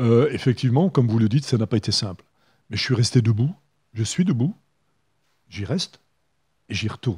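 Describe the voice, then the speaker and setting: A somewhat breathy male voice, dark and mellow in tone, with lively intonation on a very clean recording with a silent background. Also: dry, close sound with no echo. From northern France, Hazebrouck (French Flanders). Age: 70s. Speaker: mayor and election candidate. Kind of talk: radio interview. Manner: hesitant, many filler sounds.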